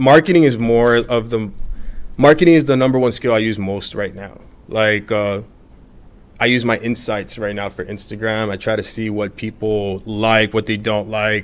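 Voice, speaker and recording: Speaking at a moderate pace with an American accent, a man has a plain, everyday voice, fairly low in pitch, with ordinary pitch variation. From Miami, Florida. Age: 30s. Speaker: social media page owner. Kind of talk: casual interview. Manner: casual, filler-heavy.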